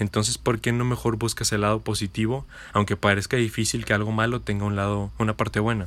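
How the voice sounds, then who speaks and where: In a very clean recording with a silent background, a man with an ordinary speaking voice talks at a fairly quick pace and a fairly low pitch. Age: 20s. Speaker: podcaster. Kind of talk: motivational monologue.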